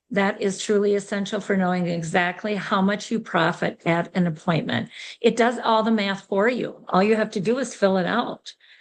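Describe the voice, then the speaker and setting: A woman uses a normal speaking voice at medium pitch and a moderate pace, with hardly any pauses. Her intonation is fairly even over a quiet background. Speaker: sales director giving business training. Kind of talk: training session.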